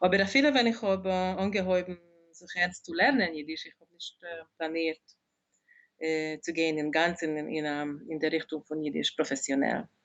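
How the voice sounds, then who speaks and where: A woman's fairly low voice at a moderate pace, with big swings in loudness and ordinary pitch variation. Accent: Hungarian. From Hungary, Budapest. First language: Hungarian (speaking German). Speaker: dictionary editor and translator. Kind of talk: interview. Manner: halting.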